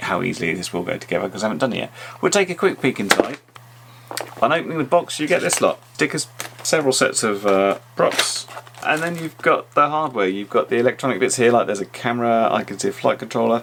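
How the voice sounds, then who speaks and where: Mumbling at a very fast pace with a British accent, a man with a medium pitch swings very widely in pitch amid noticeable background noise. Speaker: YouTube drone reviewer. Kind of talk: tutorial. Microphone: audio sometimes very bad.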